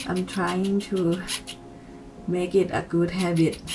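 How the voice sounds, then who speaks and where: A woman with a non-native accent talks at a medium pitch with fairly even intonation. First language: not English. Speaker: makeup youtuber. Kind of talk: tutorial.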